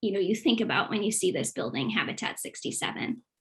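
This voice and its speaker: A woman's fairly high voice with vocal fry. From Boston, US. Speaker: youth program specialist, former English teacher. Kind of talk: online presentation / webinar.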